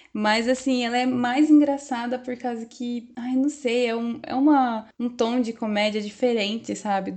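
A woman speaks with a Brazilian accent at a fairly slow pace, her pitch fairly high. Her tone is dark and mellow, and her intonation stays fairly even. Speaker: podcast co-host. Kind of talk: casual pop culture chat with news reading.

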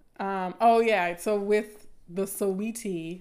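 A woman with a Southern US accent speaks in a monotone, flat intonation. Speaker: podcast host and academic. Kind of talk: live stream talk about colorism. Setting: live stream online. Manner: casual, chatty, laughs often.

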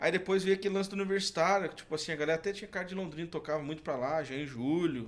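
Very fast, high-pitched speech from a man, with ordinary pitch variation and hardly any pauses. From Santa Catarina, Brazil (Canoinhas). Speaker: singer. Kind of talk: casual chat.

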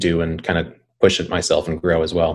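A man with an Upper Midwest accent and a very deep, low pitch. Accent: Upper Midwest American. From North Dakota, Bismarck. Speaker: video production company founder. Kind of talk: interview.

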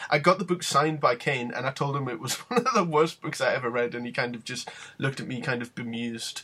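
Talking at a very fast pace in a British accent, a man makes big swings in loudness. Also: medium pitch for a man, ordinary pitch variation. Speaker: wrestling podcast host. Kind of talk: casual chat.

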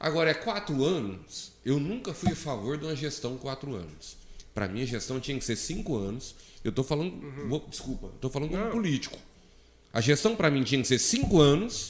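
Moving at a fairly quick pace, a man speaks in a fairly high voice with very wide pitch swings. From Brazil, Minas Gerais. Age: 40s. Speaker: solar energy entrepreneur. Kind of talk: casual interview. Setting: studio, live stream. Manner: halting, many fillers.

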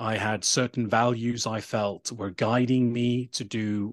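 Someone with a British accent speaks with ordinary pitch variation. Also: man. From Sweden. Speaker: digital nomad and sustainable tourism advocate. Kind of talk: interview conversation. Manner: halting, many fillers and repetitions.

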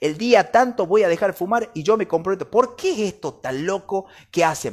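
A man's high-pitched voice comes through on a very clean recording with a silent background. His tone is animated and his pace moderate. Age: 30s. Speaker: podcast host. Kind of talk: solo podcast book review.

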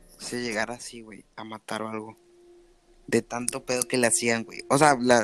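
A man speaks at medium pitch and a moderate pace. His intonation is monotone and flat, with big swings in loudness. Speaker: podcast host. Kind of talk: casual chat.

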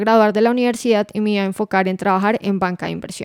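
The recording is very clean, with a silent background and a dry, close sound without echo. A woman speaks in a flat, monotone intonation. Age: 20s. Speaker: podcast co-host, finance professional. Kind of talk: casual chat.

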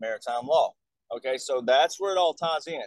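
A man with an Alabama accent and a high pitch speaks at a moderate pace. The sound is dry and close, with no echo. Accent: Southern US (Alabama). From US South, Alabama. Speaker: military veteran and touring speaker. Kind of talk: casual interview, conspiracy explanation.

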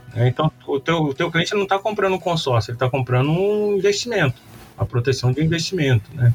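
Somewhat breathy and fairly high in pitch, a man talks at a very fast pace with lively intonation. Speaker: marketing professor and agency owner. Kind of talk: interview. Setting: remote recording from agency office. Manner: casual, animated.

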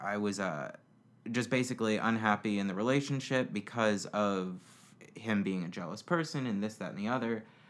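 Intonation lively, a man with an American accent speaks at a medium pitch. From Florida. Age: 20s. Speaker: podcast interviewee. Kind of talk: casual interview about personal life.

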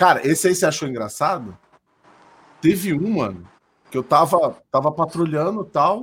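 In a very clean recording with a silent background, a man with vocal fry and a fairly high pitch talks at a moderate pace with lively intonation and long, frequent pauses. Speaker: streamer. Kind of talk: casual chat. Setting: live stream.

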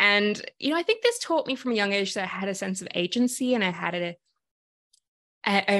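There's a woman speaking with an Australian accent. The background is quiet. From Sydney, Australia. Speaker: activist and coach. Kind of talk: casual interview conversation. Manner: animated.

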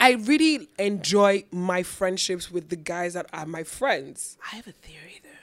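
Here a woman has an unremarkable speaking voice, medium in pitch, with lively intonation, big swings in loudness, a fairly slow pace and hardly any pauses. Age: 20s. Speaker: podcast co-host. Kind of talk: casual chat.

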